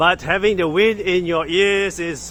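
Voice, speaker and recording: Amid noticeable background noise, a man with a high pitch speaks at a very slow pace. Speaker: tech product reviewer. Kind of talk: casual hands-on review vlog. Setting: outdoors walking. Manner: loud; halting.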